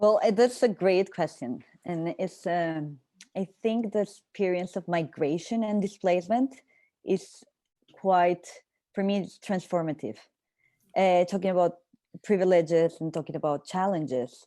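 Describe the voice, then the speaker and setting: A woman with a Spanish accent speaks at a medium pitch in a dark, mellow tone, varying her pitch in an ordinary way. Her pace is fairly slow, broken by long, frequent pauses. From Colombia. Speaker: panelist. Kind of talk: panel discussion.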